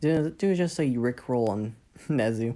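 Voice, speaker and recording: Quiet and dark, mellow in tone, a woman speaks at a fairly slow pace with a very deep, low pitch on a very clean recording with a silent background. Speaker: fanfic storyteller. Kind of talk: casual storytelling.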